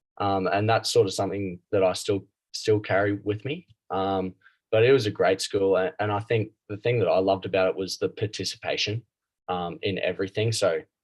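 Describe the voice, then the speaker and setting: Speaking at a fairly quick pace with fairly even intonation, a man with an Australian accent has a fairly low pitch, heard against a quiet background with a dry, close sound with no echo. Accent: Australian, noticeable. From Australia, Brisbane. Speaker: club rugby player. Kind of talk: interview. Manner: halting, many fillers.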